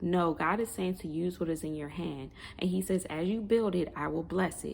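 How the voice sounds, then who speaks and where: A woman's fairly low voice with ordinary pitch variation, a plain, everyday voice at a moderate pace. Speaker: online prophetic minister. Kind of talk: prophetic word monologue.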